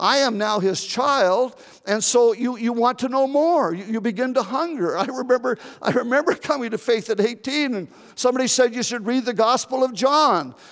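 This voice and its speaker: A man speaks at a moderate pace in an extremely high voice with ordinary pitch variation. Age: 70s. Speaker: pastor. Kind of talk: sermon. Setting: church.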